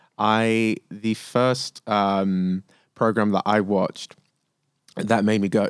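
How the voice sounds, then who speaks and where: A man with a London accent, very slow and monotone with flat intonation, on a very clean recording with a silent background and a dry, close sound free of echo. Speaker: actor. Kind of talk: casual chat. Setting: studio.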